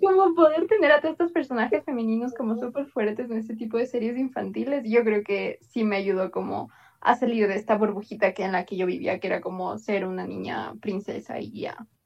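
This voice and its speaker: A woman's normal speaking voice, fairly high in pitch, with lively intonation, a fairly quick pace and hardly any pauses. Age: 20s. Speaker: podcast co-host. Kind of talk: casual chat.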